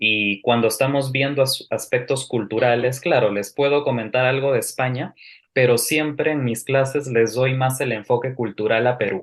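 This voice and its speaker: Against a quiet background, a man of medium pitch talks at a moderate pace with fairly even intonation. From Peru. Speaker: language teacher. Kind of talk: interview.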